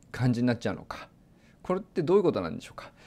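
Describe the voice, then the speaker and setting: On a very clean recording with a silent background, a man's fairly high voice moves through very wide pitch swings. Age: 40s. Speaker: meteorologist. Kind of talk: lecture. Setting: lecture event.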